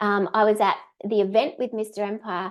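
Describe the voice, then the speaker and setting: A woman with an Australian accent speaks at a moderate pace and a medium pitch against a quiet background. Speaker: direct sales trainer. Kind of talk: webinar training. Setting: live stream.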